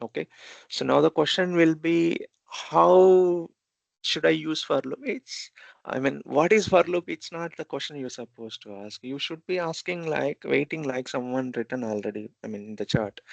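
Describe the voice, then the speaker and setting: In an Indian accent, the speaker uses lively intonation and big swings in loudness at a moderate pace, the sound dry and close with no echo. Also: man, fairly high pitch for a man. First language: Telugu. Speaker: programming instructor. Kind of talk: lecture. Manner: halting.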